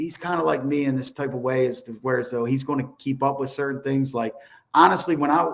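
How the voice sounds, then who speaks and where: A man talks at a very fast pace. He speaks with a Baltimore accent. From Baltimore, Maryland. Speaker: former federal prisoner. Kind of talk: interview.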